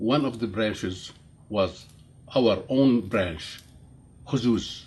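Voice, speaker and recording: A man's somewhat breathy voice at medium pitch, very slow, with ordinary pitch variation. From Jordan. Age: 70s. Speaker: interviewee telling life story. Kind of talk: interview. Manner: halting, many fillers.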